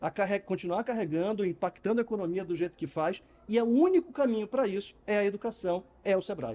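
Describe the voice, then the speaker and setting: A man with a high-pitched, dark, mellow voice speaks at a very fast pace with ordinary pitch variation. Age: 50s. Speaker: customer experience consultant and speaker. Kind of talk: interview. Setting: live event venue.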